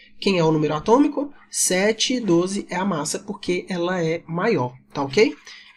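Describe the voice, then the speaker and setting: High male voice with very wide pitch swings, against noticeable background noise. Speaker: chemistry teacher. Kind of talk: lecture. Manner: casual.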